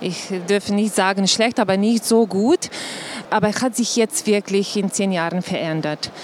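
A woman's medium-pitched voice in a Slovenian accent, with ordinary pitch variation, over noticeable background noise. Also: moderate pace. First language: Slovenian (speaking German). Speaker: tourism board director. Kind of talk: live panel talk. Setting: trade fair stage with audience. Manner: halting, many fillers.

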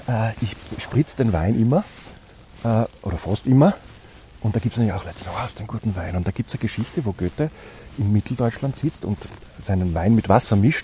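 The delivery runs at a very fast pace with ordinary pitch variation. Long, frequent pauses interrupt it. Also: man, medium pitch for a man. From Austria, Styria. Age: 40s. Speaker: politician. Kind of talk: interview. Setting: outdoors.

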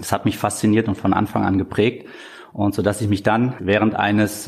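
A man with a fairly low pitch speaks fairly quickly amid noticeable background noise. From Germany, northern Hesse (Korbach). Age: 30s. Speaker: dentist and practice owner. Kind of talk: interview.

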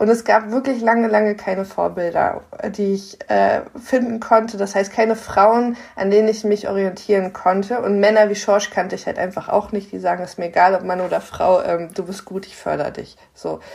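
A woman at medium pitch speaks with fairly even intonation over noticeable background noise. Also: moderate pace. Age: 30s. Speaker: podcast co-host. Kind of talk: interview.

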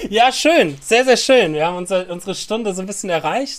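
A man talks at a very fast pace. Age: 30s. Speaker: podcast host and guitar teacher. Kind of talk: casual chat.

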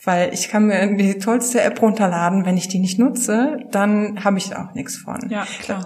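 Medium-pitched woman's voice at a moderate pace, fairly even intonation, noticeable background noise. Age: 30s. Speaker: publishing sales manager. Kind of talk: casual interview.

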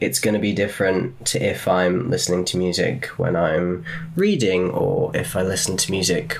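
A man's pitch swings very widely while background noise and room echo are both clearly heard. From England. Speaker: psychotherapy student and musician. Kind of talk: interview.

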